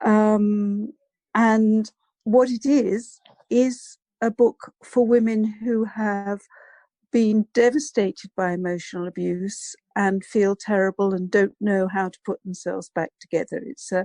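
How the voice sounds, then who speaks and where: Speaking fairly slowly with an English accent, a woman has a fairly high pitch, fairly even intonation and a dark, mellow tone, in a dry, close sound with no echo. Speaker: psychologist and abuse recovery coach. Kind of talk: interview.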